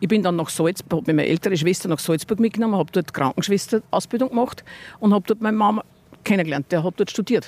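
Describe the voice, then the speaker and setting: A woman talking at a very fast pace, with very even loudness and a dry, close sound with no echo. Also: medium pitch for a woman, ordinary pitch variation. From Upper Austria, Mühlviertel. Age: old. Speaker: farmer. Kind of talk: casual interview.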